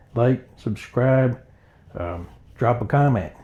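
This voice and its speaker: A man speaks at a very slow pace in a medium-pitched voice. His tone is dark and mellow, and somewhat breathy. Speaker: antiques reseller, small business owner. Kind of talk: casual vlog talk to camera. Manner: halting, not smooth.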